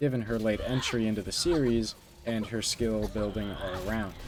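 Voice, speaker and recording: With music in the background, a man talks in a medium-pitched voice. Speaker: gaming YouTuber. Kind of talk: unscripted gaming commentary. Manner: halting, with filler words and stutters.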